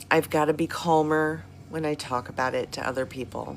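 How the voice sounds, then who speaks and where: A woman speaks at a fairly low pitch with music in the background. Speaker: health vlogger. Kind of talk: casual talk to viewers, live-stream style. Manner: animated.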